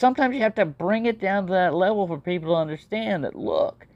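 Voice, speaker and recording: A woman is speaking. Her intonation is lively. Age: 60s. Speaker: knife collector vlogger. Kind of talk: casual monologue. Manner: rambling, hesitant with repetitions.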